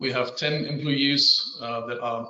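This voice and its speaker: Speaking very slowly with a German accent, a man keeps a medium pitch and fairly even intonation. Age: 50s. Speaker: civil engineer. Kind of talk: conference presentation. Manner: halting.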